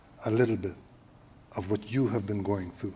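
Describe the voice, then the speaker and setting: A man talks with ordinary pitch variation while noticeable background noise is heard. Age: 70s. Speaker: panel moderator. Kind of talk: panel discussion. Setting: stage with audience at a library event.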